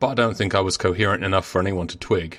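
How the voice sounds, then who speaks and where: A gruff, put-on character voice from a man, very deep and low in pitch, with fairly even intonation and a very fast pace. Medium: read story. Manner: gruff, brusque.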